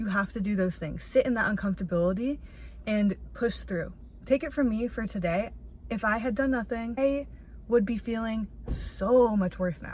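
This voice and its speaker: This woman sounds animated and somewhat breathy, with ordinary pitch variation. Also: medium pitch for a woman, moderate pace. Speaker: vlogger. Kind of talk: casual vlog monologue. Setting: outdoors in a parking lot.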